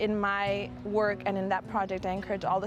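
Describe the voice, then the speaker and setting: A woman's medium-pitched voice with a Spanish accent, at a fairly quick pace. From Southern California, Coachella Valley. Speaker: nonprofit program director. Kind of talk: personal interview testimony.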